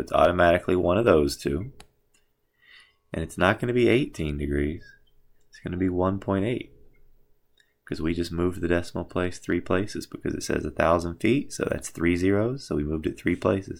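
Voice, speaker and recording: At a fairly quick pace, a man speaks in a very deep, low voice in a very clean recording with a silent background. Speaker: math teacher. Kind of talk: tutorial. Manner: fast.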